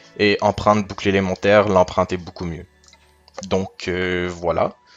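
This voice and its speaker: A man's fairly low, monotone voice with flat intonation at a moderate pace, music in the background. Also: long, frequent pauses. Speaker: gaming youtuber. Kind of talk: gameplay commentary. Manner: stammering slightly; hesitant, many fillers.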